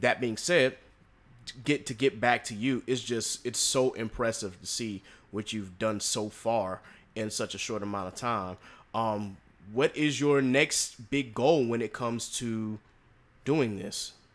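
Ordinary pitch variation marks an ordinary speaking voice that proceeds fairly slowly. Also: man, medium pitch for a man. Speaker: podcast host. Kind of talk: casual interview.

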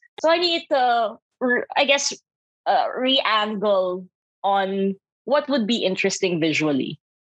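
A woman with a Filipino accent and a fairly high pitch speaks at a fairly slow pace with very wide pitch swings and very even loudness, in a dry, close sound with no echo. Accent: Filipino English, Taglish. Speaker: creative and radio DJ. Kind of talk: casual interview chat.

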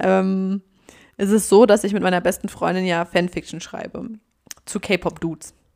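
On a very clean recording with a silent background, a woman speaks at a medium pitch and a moderate pace. Her intonation is monotone and flat, with long, frequent pauses. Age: 20s. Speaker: podcast co-host. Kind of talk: casual chat.

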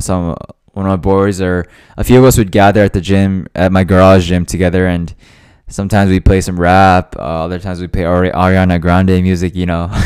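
A man's very deep, low voice, monotone with flat intonation, at a fairly quick pace. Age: 20s. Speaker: podcast host. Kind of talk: casual solo podcast monologue. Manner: hesitant, many fillers; laughs often.

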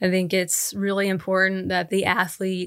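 At a fairly slow pace, a woman with an American accent talks at medium pitch on a very clean recording with a silent background. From Oklahoma, US. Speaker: basketball coach. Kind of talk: interview.

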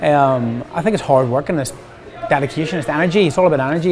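A man with a Northern Irish accent, fairly high-pitched with ordinary pitch variation, at a fairly quick pace over noticeable background noise. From Northern Ireland, County Armagh. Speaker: hairstylist and educator. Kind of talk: casual interview.

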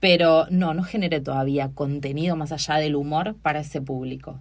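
Speaking at a moderate pace with an Argentine accent, a woman has a very deep, low pitch and fairly even intonation. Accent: Rioplatense Argentine Spanish. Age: 40s. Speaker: comedian and university researcher. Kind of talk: casual interview chat.

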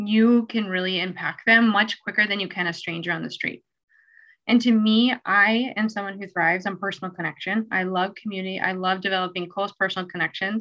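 A woman talks at a medium pitch in an ordinary speaking voice. Her pace is fairly quick and her intonation fairly even. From Minnesota, US. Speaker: nurse and placement coordinator. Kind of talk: casual interview chat.

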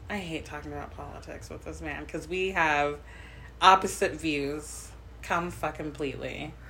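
Big swings in loudness, with audible room echo. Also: woman, moderate pace. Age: 30s. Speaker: podcast co-host. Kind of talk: casual chat.

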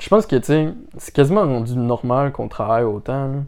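A man with a Quebec accent, fairly high pitch and a dark, mellow tone at a moderate pace, over a quiet background. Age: 20s. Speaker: podcast co-host. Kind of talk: casual chat.

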